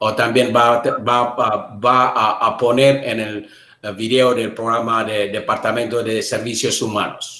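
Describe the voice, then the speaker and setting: With audible room echo, a man speaks at a moderate pace in a monotone, flat intonation. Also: medium pitch for a man. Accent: Ethiopian. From Ethiopia. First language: Amharic. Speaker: interpreter. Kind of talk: live interpreting; self-introduction. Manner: halting.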